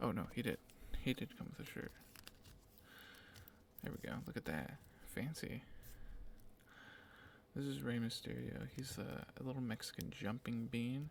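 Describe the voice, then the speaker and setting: A man is whispering. He leaves long, frequent pauses. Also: moderate pace. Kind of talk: ASMR whispering. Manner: whispered.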